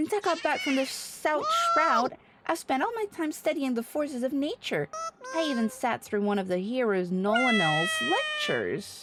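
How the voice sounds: A woman uses a put-on character voice, high-pitched with very wide pitch swings and a fairly bright tone, at a moderate pace with faint music in the background.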